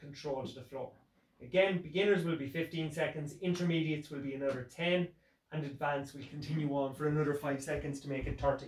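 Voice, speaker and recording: A somewhat breathy man at a very fast pace, fairly even in intonation, with audible room echo. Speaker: fitness instructor. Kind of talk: tutorial. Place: home room. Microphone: camera far.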